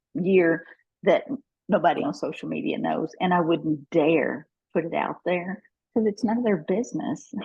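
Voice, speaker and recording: The woman's voice is fairly low in pitch, with ordinary variation. She keeps a moderate pace. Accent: Kentucky. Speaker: network marketing professional. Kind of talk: interview.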